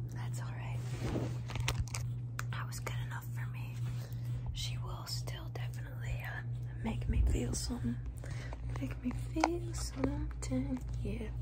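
A woman with long, frequent pauses under loud background noise. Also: fairly slow pace. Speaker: ASMR streamer. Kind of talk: ASMR casual talk to camera. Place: home room. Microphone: phone near.

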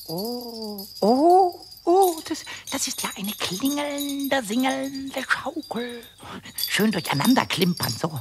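Someone speaks in a put-on character voice. The delivery moves at a fairly slow pace. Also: female-sounding voice, high pitch for a woman. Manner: excited, stammering.

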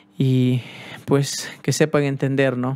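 This man speaks in a monotone. His intonation stays flat throughout. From Peru. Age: 30s. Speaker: cumbia musician; youtuber. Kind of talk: personal vlog. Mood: serious, subdued. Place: home room. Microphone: studio mic.

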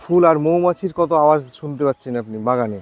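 There is noticeable background noise behind this man's fairly high voice. The sound is dry and close, with no echo. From West Bengal, Nadia district. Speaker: fruit farmer and nursery grower. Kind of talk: casual interview in an orchard. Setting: outdoors in an orchard.

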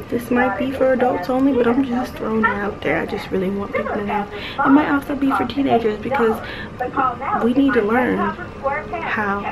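A woman talks at a moderate pace with ordinary pitch variation. Loud background noise runs behind her. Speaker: vlogger. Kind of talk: casual vlog chat. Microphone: phone near.

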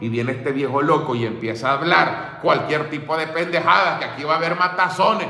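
A man with very wide pitch swings and an animated tone, amid audible room echo. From El Salvador. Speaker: political commentator; political commentator streamer. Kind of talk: casual monologue. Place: home room. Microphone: phone near.

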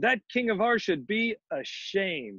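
With a dry, close sound and no echo, a man puts on a character voice that is high for a man and fairly bright in tone, with a slightly husky edge, big pitch swings and a slow pace.

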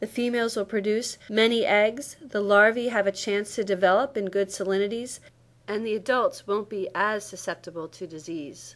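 In a plain, everyday voice, a woman speaks at a moderate pace with a fairly high pitch and ordinary pitch variation, on a very clean recording with a silent background. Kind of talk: scripted explanation.

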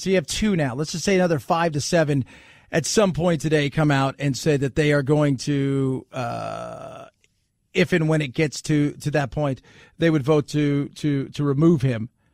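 With a dry sound and no echo over a quiet background, a man speaks at a moderate pace and a fairly high pitch. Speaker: radio talk show host. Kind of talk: political talk radio monologue. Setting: studio. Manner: animated, conversational. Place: studio.

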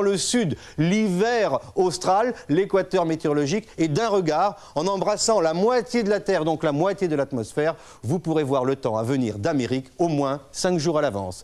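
Over a quiet background, a man with a high voice speaks at a fairly slow pace with lively intonation. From France. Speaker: weather presenter. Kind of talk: TV weather report. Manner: brisk, didactic; formal, polished. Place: studio.

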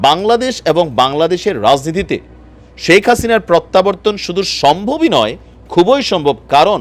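Very wide pitch swings mark this man's high voice, though his loudness stays very even. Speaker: political news YouTuber. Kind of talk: news commentary. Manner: laughs while talking; casual, conversational.

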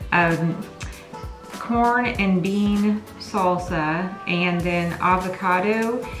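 Over clear background music, a woman speaks at a very slow pace with fairly even intonation. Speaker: vlogger reviewing a restaurant. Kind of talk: casual vlog chat. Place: home room.

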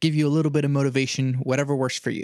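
The sound is dry and close, with no echo. A man is speaking. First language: Spanish. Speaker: podcast host. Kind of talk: casual chat.

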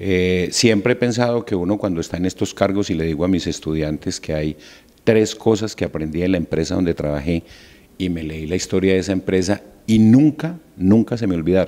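This man has a very deep, low pitch and a dark, mellow tone, speaking at a fairly quick pace with ordinary pitch variation. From Colombia, Valle del Cauca (Barragán, raised in Tuluá); Valle del Cauca, Colombia. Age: 50s. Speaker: university rector. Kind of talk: interview. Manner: halting, frequent fillers. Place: office. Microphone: handheld.

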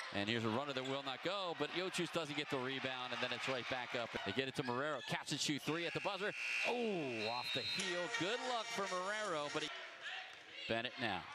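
Over noticeable background noise, a man talks at a fairly quick pace in an animated tone, his fairly high pitch making very wide swings while his loudness stays very even. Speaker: play-by-play announcer. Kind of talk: live play-by-play sports commentary. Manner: fast, animated play-by-play delivery.

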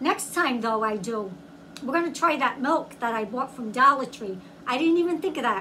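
A woman speaks in a raised, projected voice at a moderate pace. Light background noise sits behind her. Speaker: food reviewer. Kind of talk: casual vlog chat. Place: home room. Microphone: phone near.

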